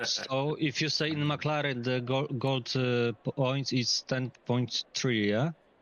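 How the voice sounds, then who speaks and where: With a Polish accent, a man talks very slowly yet with hardly any pauses, his loudness very even and intonation fairly even. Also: medium pitch for a man. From Poland. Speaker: sim racer asking questions. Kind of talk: casual Q&A. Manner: halting.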